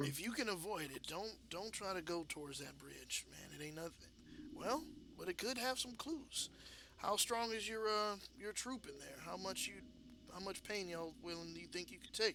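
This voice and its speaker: A man puts on a drawling character voice, pitched high with lively intonation. He keeps a moderate pace over clear background noise. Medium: actual play. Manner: drawling, slangy, says "man" often.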